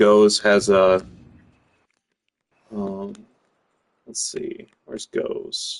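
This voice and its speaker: In an American accent, the speech has a dry, close sound without echo. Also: man. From United States. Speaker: gaming streamer. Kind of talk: gameplay commentary. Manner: casual, with many fillers.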